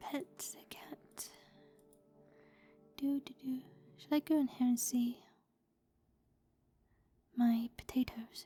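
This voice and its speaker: Soft-spoken and high-pitched, a woman talks very slowly with ordinary pitch variation. She pauses long and often while music plays in the background. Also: big swings in loudness. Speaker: ASMR gaming streamer. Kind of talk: casual gameplay commentary.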